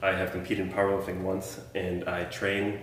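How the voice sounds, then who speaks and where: Speaking at a fairly quick clip, a man with a fairly low voice is heard amid audible room echo and noticeable background noise. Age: 20s. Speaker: powerlifter and fitness podcast co-host. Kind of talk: casual chat.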